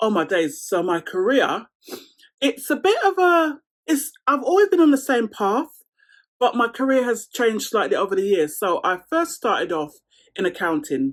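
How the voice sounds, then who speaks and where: A woman with a London accent speaks in a high pitch that swings very widely. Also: moderate pace. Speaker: lifestyle vlogger. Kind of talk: casual Q&A chat to camera.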